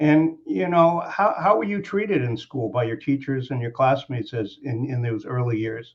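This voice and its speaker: Lively intonation marks this man's somewhat breathy, medium-pitched voice. He keeps a moderate pace. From US mid-Atlantic (Washington DC area). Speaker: moderator. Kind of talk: interview. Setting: webinar video call. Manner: halting.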